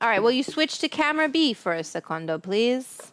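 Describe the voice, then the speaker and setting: On a very clean recording with a silent background, a woman talks loudly at a moderate pace in a high voice with very wide pitch swings. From Italian heritage. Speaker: cooking show host. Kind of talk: casual livestream cooking chat. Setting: home kitchen, livestream. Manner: loud, projecting.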